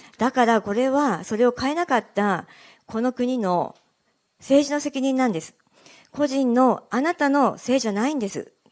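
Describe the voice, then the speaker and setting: With lively intonation and a high pitch, a woman speaks at a moderate pace over a quiet background. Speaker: local politician. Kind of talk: campaign speech. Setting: live event with audience. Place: meeting room. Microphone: handheld.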